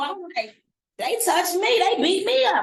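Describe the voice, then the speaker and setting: A loud woman with an American accent, animated in tone at a moderate pace, with very wide pitch swings. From US Midwest, Cincinnati. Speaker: radio host and speaker. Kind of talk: motivational speech.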